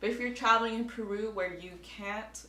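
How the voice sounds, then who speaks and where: Talking in an American accent, a woman is heard with audible room echo. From United States. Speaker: travel vlogger. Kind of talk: advice vlog talking to camera. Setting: indoors at home, air conditioning off.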